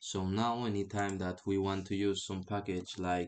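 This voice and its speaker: Fairly low male voice with fairly even intonation over a quiet background. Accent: non-native. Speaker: programming tutorial creator. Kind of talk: screen-recorded tutorial. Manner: hesitant, with filler sounds.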